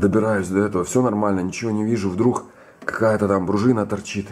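A man speaks at a moderate pace with a fairly low pitch. His tone is slightly mellow, and his intonation is fairly even.

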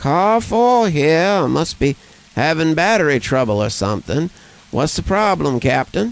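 Putting on a character voice, a man speaks at a moderate pace in a shaky, fairly high pitch with very wide pitch swings and very even loudness. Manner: drowsy, easygoing.

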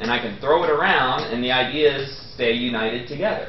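A man speaks at a moderate pace. Audible room echo and light background noise surround him. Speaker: professor. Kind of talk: lecture. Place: classroom.

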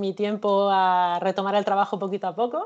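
A woman talks at a medium speed, the background around her quiet. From La Mancha, Spain (Cuenca province); La Mancha, Spain. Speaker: illustrator and researcher; guest. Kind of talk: interview. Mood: cheerful, smiling. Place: home room. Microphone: video call.

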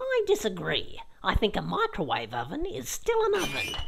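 This is a cartoonish character voice delivered at a moderate pace. Background noise is clearly audible. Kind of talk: comedic kids web series dialogue. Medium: puppet.

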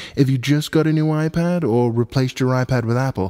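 A man with a British accent speaks in a dark, mellow tone. His pitch varies in an ordinary way. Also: very clean recording, silent background. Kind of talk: tech tutorial narration.

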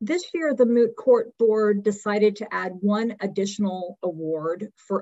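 The background is quiet as a woman speaks at a fairly slow pace. Her pitch variation is ordinary. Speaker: law professor; event host presenting awards. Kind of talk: award announcements. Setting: video call. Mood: warm, congratulatory. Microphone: video call.

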